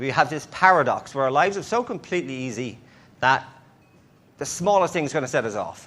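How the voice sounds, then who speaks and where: A man talks at a fairly quick pace in a fairly high voice with lively intonation. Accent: Irish. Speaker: conference speaker. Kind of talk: conference talk. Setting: stage with audience.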